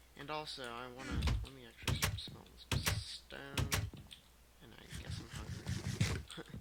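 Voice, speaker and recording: Over music in the background, a man talks at a fairly slow pace with big swings in loudness. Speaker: gaming youtuber. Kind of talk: let's play commentary. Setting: home recording, headset. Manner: quiet, lowered voice.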